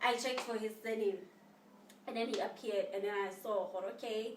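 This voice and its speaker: A woman's fairly high voice with a South African accent, over noticeable background noise. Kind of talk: casual storytime to camera.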